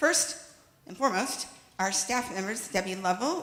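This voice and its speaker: Lively intonation is heard through audible room echo and noticeable background noise. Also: woman. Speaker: congregation board chair. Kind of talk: meeting chairing from a script. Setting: congregational meeting hall with in-person and Zoom attendees. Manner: fast.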